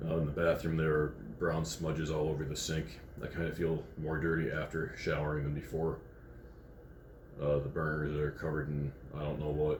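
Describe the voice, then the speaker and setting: A man with a very deep, low pitch talks fairly quickly in a monotone, flat delivery. Audible room echo surrounds his voice. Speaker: food review vlogger. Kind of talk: casual vlog commentary. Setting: hotel room. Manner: halting, many fillers.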